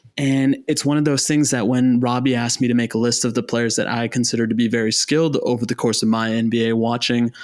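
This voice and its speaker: On a very clean recording with a silent background, a man at medium pitch speaks very fast in a flat monotone. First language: not English. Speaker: sneaker podcast co-host. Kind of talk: casual podcast discussion.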